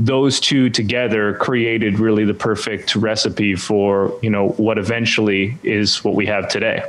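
Speaking with a Canadian accent, a man keeps his fairly low voice at very even loudness. His intonation is monotone and flat, and his pace fairly slow. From Canada. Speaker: church communications consultant; interview guest. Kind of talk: interview. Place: home room. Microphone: studio mic.

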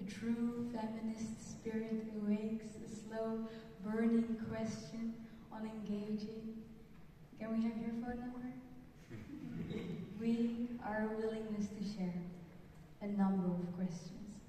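Amid strong room echo and light background noise, a woman speaks very slowly at a fairly high pitch in a monotone, flat intonation, with long, frequent pauses. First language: Dutch. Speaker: poet. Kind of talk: spoken word poetry performance. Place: hall.

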